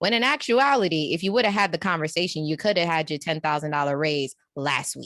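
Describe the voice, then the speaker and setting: A woman with a New York accent talks at a fairly quick pace with hardly any pauses, her fairly low voice moving in lively intonation against a quiet background. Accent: New York way of talking. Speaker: executive coach. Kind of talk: casual interview chat. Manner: animated, conversational.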